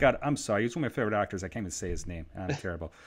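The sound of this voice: A man's fairly low voice at a very fast pace, with lively intonation.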